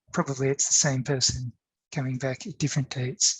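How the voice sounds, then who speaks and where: A man talks at a fairly quick pace in a somewhat breathy voice. His intonation stays monotone and flat. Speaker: professor. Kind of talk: academic conference talk. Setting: online conference. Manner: fast.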